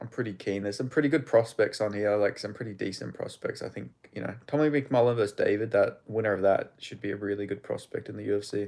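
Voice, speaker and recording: With an Australian accent, a man speaks at a very fast pace. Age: 20s. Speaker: MMA live streamer. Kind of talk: live stream chat and fight commentary. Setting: live stream. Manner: casual, animated.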